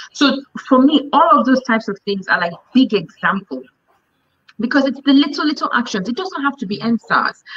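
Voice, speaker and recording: With lively intonation, a woman talks at a high pitch. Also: moderate pace. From Nigeria. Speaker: NGO executive director; guest. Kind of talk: interview. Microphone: video call.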